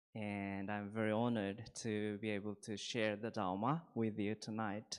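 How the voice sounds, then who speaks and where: A man's fairly low voice in a Japanese accent, moderate in pace, with monotone, flat intonation against a quiet background. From Japan, Shizuoka. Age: 40s. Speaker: Buddhist priest. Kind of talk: dharma talk. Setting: temple hall with audience.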